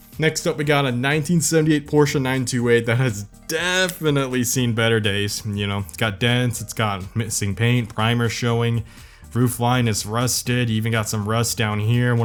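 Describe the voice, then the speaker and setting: A man's medium-pitched voice with ordinary pitch variation, music in the background. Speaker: car commentary YouTuber. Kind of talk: casual commentary over screen listings.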